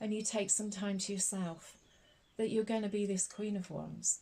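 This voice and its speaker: A soft-spoken woman talks at a medium pitch, with a somewhat breathy quality and a dark, mellow tone. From Scotland. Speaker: tarot reader. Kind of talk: ASMR tarot reading. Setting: recorded with birdsong and a snoring dog in background. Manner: soft-spoken, slow-paced, soothing.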